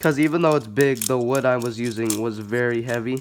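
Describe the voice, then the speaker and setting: Noticeable background noise runs through the clip. The speaker keeps a moderate pace. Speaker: balisong hobbyist youtuber. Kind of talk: casual show-and-tell. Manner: casual, filler-heavy.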